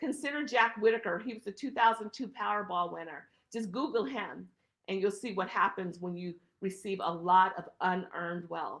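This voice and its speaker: Lively intonation at a moderate pace, with big swings in loudness. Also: woman, medium pitch for a woman. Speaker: estate planning attorney. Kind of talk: webinar presentation. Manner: emphatic.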